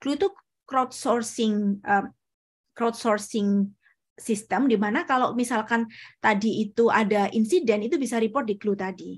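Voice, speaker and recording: A woman speaks fairly slowly in a fairly high, somewhat breathy voice. Her pitch varies in an ordinary way, and the background is quiet. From Indonesia, Surabaya; East Java, Indonesia. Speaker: researcher and doctoral student; presenter. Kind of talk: lecture. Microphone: video call.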